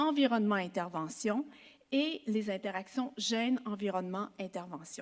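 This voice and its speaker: Speaking fairly slowly, a woman uses a fairly high pitch and lively intonation. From Quebec. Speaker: psychology professor. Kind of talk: conference talk. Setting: symposium with audience. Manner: formal.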